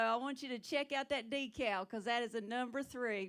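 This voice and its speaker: In a strong Southern US accent, a woman speaks with a high pitch and ordinary pitch variation at a moderate pace. The recording is very clean, with a silent background. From South Carolina. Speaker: stand-up comedian. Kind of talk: stand-up.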